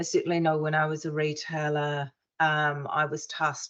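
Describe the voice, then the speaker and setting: A woman speaks with a very deep, low pitch. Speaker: retail trainer, former retail buyer. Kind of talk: online workshop presentation. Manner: fast.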